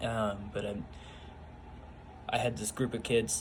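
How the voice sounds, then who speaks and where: A man talks in a fairly low pitch. There is audible echo from the room. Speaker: youth bible study leader. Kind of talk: casual personal testimony vlog. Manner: halting, many fillers.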